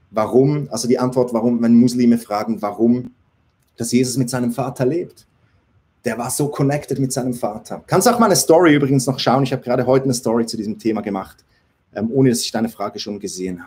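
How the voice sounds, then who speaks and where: The voice has a dark, mellow tone and ordinary pitch variation. It rushes at a very fast pace with big swings in loudness. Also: man, medium pitch for a man. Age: 40s. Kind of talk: live Q&A stream. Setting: livestream on several platforms.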